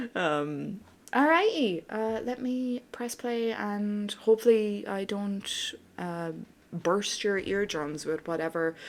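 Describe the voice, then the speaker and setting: In a very clean recording with a silent background, a woman of medium pitch speaks at a very slow pace with lively intonation. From Ireland. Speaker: gaming streamer. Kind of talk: casual chat. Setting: live stream. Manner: animated.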